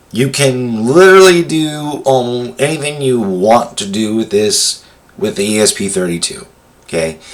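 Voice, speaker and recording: The man's voice sits at a medium pitch and swings very widely. He talks at a fairly slow pace over noticeable background noise. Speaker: tech tutorial presenter. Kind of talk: tutorial. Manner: halting, many fillers.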